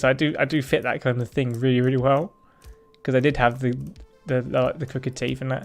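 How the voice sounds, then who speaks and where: At a very fast pace, a man with an English accent talks in a medium pitch. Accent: English accent, noticed by American viewers. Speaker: live streamer. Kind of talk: casual livestream chat. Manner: quieter than usual.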